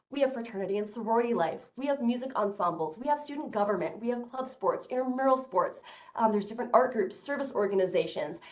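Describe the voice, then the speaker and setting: A fairly high female voice at a very fast pace, with hardly any pauses and ordinary pitch variation. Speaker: admissions counselor; presenter. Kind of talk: presentation. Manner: loud. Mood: upbeat, enthusiastic. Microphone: video call.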